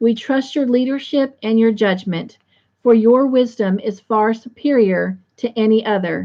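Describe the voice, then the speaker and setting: Speaking at a fairly slow pace, a woman uses a fairly high pitch with fairly even intonation. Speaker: host of an online Bible study chat. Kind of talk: devotional, prayerful.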